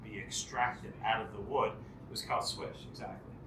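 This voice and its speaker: A man speaks over noticeable background noise. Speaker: pub host, screech-in ceremony leader. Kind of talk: pub ceremony storytelling to an audience.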